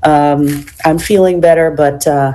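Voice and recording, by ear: Croaky and raspy, a woman's low-pitched voice with a dark, mellow tone moves at a fairly slow pace with fairly even intonation, and audible room echo is present.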